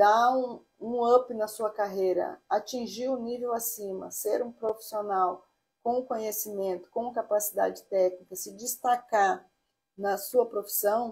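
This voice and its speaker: A woman speaks at a very slow pace, her fairly high pitch held to fairly even intonation. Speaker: architect teaching online course. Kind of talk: live stream lesson. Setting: live stream. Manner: hesitant, many fillers.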